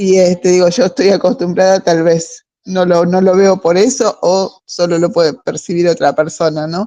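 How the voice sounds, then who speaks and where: A woman with an Argentine accent speaks at medium pitch with ordinary pitch variation, a dark, mellow tone and hardly any pauses. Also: moderate pace, very even loudness. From Argentina, Patagonia. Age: 60s. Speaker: book club member. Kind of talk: casual discussion. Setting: video call. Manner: halting.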